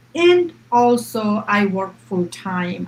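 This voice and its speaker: This woman speaks with an Indian accent at medium pitch. Her voice is somewhat breathy. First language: Hindi. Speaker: public servant and online business owner. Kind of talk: live-stream panel discussion.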